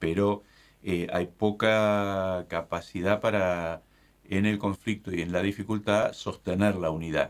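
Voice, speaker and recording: Very deep and low in pitch, a man speaks with fairly even intonation. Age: 60s. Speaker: bishop. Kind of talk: casual chat.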